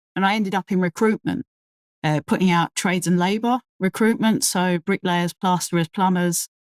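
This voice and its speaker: A woman's fairly low voice with a strong London accent at a fairly quick pace, ordinary pitch variation, dry and close with no echo, on a very clean recording with a silent background. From London, England. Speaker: crane operator. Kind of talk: casual podcast interview.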